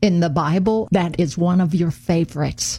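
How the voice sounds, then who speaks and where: Speaking at a moderate pace with an American accent, a woman with a fairly low pitch sounds somewhat breathy, with a dark, mellow tone and ordinary pitch variation. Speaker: radio host. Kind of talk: interview. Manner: halting with fillers.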